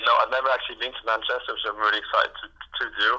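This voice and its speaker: This man has a strong Welsh accent. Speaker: ice hockey player. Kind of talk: phone interview. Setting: phone call. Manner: halting.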